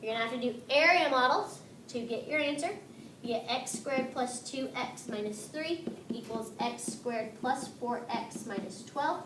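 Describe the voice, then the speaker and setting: A woman's high-pitched voice, with noticeable background noise and audible room echo. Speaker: math teacher. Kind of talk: tutorial.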